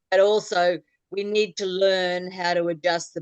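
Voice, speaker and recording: In an Australian accent, a woman speaks very slowly at a fairly low pitch, her intonation monotone and flat. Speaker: clogging club leader. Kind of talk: casual chat.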